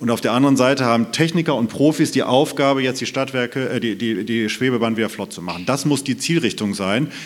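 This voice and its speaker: A man's medium-pitched voice at a very fast pace, with hardly any pauses and ordinary pitch variation. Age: 30s. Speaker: mayoral candidate, state parliament member. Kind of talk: panel debate. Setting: stage with live stream.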